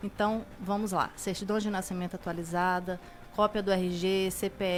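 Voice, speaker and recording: This woman has an unremarkable speaking voice at a medium pitch. She talks at a fairly slow pace with fairly even intonation. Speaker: notary public (cartório) guest. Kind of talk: expert interview answer.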